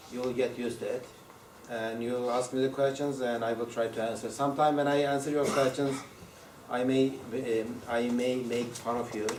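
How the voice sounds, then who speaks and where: A medium-pitched man with a strong non-native accent, in a flat monotone at a moderate pace, with audible room echo and noticeable background noise. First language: Turkish. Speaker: university lecturer. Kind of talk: lecture. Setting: classroom with students. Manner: halting, many fillers and repetitions.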